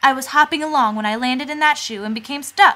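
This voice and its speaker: A woman speaks in a put-on character voice with a high pitch. Her pace is very fast. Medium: read story.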